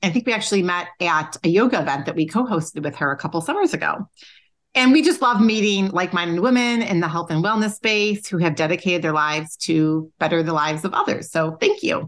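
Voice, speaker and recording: Against a quiet background, a woman with a fairly low pitch talks at a fairly quick pace in an unremarkable speaking voice. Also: lively intonation. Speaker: podcast co-host. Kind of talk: casual interview.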